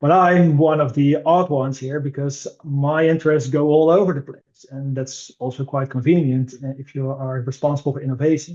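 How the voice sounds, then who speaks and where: In a Dutch accent, a man with a fairly high pitch speaks at a moderate pace with monotone, flat intonation. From Netherlands. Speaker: innovation director at a digital commerce consultancy. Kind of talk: podcast interview. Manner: frequent hesitations and fillers.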